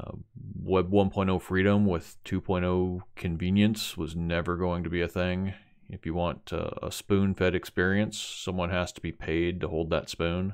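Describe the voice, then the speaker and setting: A man talks at a fairly slow pace in a very deep, low voice with monotone, flat intonation. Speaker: tech video creator. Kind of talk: tutorial, then opinionated rant.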